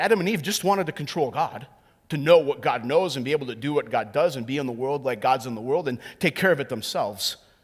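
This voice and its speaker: Speaking at a very fast pace, a man with an American accent uses lively intonation. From US Midwest, North Dakota. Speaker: pastor. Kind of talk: sermon.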